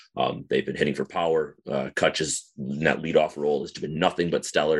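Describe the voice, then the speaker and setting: With an American accent, the man talks with vocal fry. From northern Wisconsin. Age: 30s. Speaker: baseball fan forum moderator. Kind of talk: casual interview.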